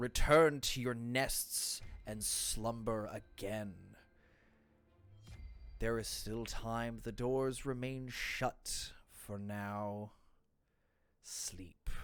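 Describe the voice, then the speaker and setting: A booming, put-on character voice from a man, medium in pitch, very slow, with long, frequent pauses. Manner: commanding, ominous.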